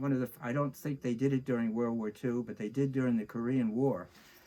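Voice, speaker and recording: A man's dark, mellow tone. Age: 80s+. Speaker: war veteran. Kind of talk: oral history interview. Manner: halting.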